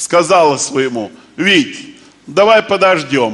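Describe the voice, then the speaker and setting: His pitch rises and falls very widely. The man talks very slowly. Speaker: stand-up comedian. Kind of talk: comic monologue telling jokes. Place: stage. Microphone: headset.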